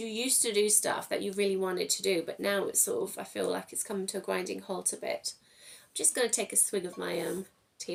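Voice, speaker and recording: A woman with an English accent at a very fast pace. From England. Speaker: tarot reader. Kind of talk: tarot reading. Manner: casual, chatty.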